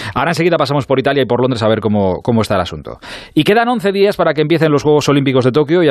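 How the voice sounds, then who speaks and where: A man talks at a very fast pace. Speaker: radio sports show host. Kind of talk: late-night radio sports show.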